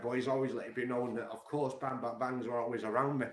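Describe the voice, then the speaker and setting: A man speaks at a medium pitch in an animated tone. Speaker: music commentary streamer. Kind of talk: casual monologue. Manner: fast.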